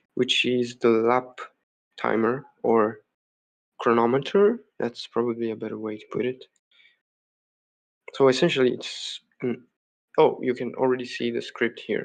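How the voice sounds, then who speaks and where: Speaking at a fairly slow pace, a man lets his loudness swing widely. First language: not English. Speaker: game developer streamer. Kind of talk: live coding stream. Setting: home live stream. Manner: hesitant, many fillers.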